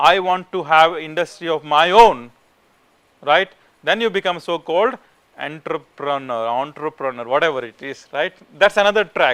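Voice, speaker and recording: An Indian-accented man's voice, fairly high-pitched, at a moderate pace, with lively intonation and big swings in loudness. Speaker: professor. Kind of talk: lecture. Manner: informal, conversational.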